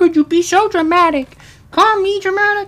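Squeaky and pitched extremely high, the put-on character voice moves along at a moderate pace. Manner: dramatic, indignant.

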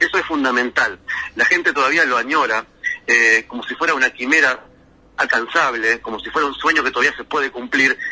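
Here a man speaks at a fairly quick pace in a fairly high pitch, with ordinary pitch variation. It is an unremarkable speaking voice. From Argentina, Entre Ríos (Paraná). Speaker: travel writer. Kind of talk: radio interview.

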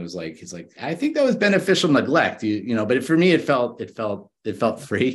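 A man with an American accent, a plain, everyday voice, at a fairly quick pace. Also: quiet background. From US, Miami Beach, Florida. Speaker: entrepreneur and divorced father. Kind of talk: casual interview.

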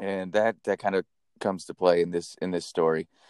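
A man with a fairly low voice and a Californian accent, recorded dry and close with no echo. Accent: Californian American English. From California, Napa Valley. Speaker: podcast co-host. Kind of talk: casual storytelling chat.

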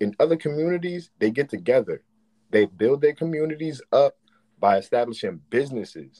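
A man talks at a fairly quick pace, with a dry, close sound and no echo. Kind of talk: casual chat.

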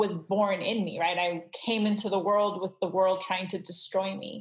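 Her voice is somewhat breathy and medium in pitch. She speaks at a fairly slow pace. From Southern California (Glendale), Iranian refugee family. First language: Farsi. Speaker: creative consultant. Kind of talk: interview conversation. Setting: video call.

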